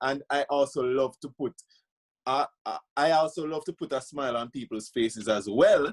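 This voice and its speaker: A man with a fairly high pitch and a Jamaican accent at a moderate pace. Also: dry, close sound with no echo. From Jamaica, Saint Thomas. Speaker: journalist and public speaker. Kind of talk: casual interview. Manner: upbeat.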